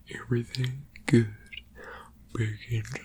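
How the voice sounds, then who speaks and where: A fairly slow whisper amid noticeable background noise. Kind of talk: ASMR crochet video, casual talk to camera. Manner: reflective, conversational, musing.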